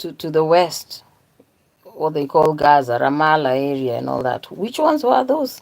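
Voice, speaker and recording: Someone with a Kenyan accent talks at a fairly slow pace. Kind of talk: religious monologue. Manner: animated.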